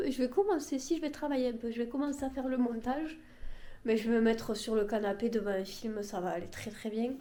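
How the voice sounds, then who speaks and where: A woman's fairly high yet dark, mellow voice at a fairly quick pace, with audible room echo. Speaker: vlogger. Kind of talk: casual vlog to camera.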